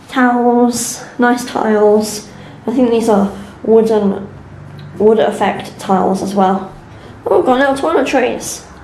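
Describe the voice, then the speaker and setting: With audible room echo and noticeable background noise, a woman with a fairly high pitch talks at a fairly slow pace with ordinary pitch variation. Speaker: travel vlogger. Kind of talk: vlog narration.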